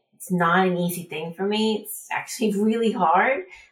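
A woman's somewhat breathy voice holds a fairly even intonation. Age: 50s. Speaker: trail runner. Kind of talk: interview.

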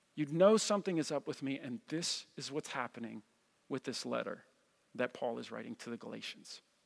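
The sound is dry and close with no echo while a man talks at a fairly quick pace. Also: very clean recording, silent background. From New Jersey. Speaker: pastor. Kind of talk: sermon. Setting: church. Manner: animated.

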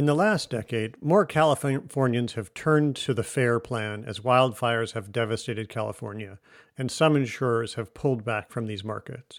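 A man with an American accent speaks at a moderate pace and medium pitch, with ordinary pitch variation and a normal speaking voice. The recording is very clean, with a silent background. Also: hardly any pauses. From US Midwest (Michigan). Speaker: climate and economics researcher. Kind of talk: interview.

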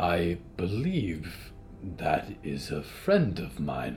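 A man's put-on character voice, very deep and low, at a very slow pace over clear background noise. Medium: audio drama. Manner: formal, no contractions, soft-spoken.

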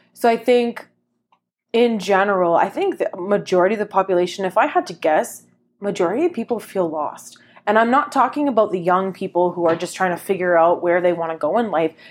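In a very clean recording with a silent background, a woman with an ordinary speaking voice talks fairly quickly at a medium pitch with ordinary pitch variation. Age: 30s. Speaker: podcast co-host, teacher. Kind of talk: casual chat.

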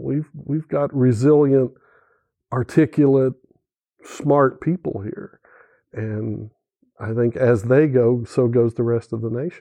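At a very slow pace with long, frequent pauses, a man with an Oklahoma accent speaks in a dark, mellow, medium-pitched voice with ordinary pitch variation, the sound dry and close with no echo and the background quiet. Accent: Oklahoman Southern US. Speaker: political journalist and journalism teacher. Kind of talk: panel discussion.

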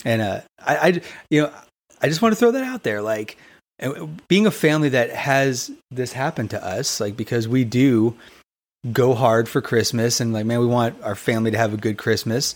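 With an American accent, a man speaks at a moderate pace and medium pitch with ordinary pitch variation in a normal speaking voice, recorded very cleanly against a silent background. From Arizona, US. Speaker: podcast co-host, minister. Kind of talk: casual chat.

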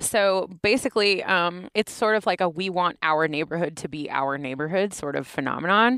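With an American accent, a woman at fairly low pitch speaks at a moderate pace in a bright, sharp tone with lively intonation. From Knoxville, Tennessee, US South. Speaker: PhD student linguist researcher. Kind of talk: interview about research.

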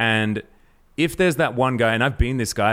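This man talks in a normal speaking voice, moving at a fairly quick pace with lively intonation. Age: 30s. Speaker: esports podcast host. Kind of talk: casual chat. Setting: at co-host's home.

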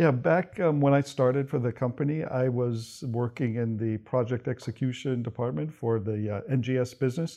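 Speaking at a moderate pace with hardly any pauses, a man with medium pitch and an American accent shows ordinary pitch variation. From New Mexico, US (childhood partly Brazil). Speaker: energy company executive. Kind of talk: interview. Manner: hesitant, many fillers.

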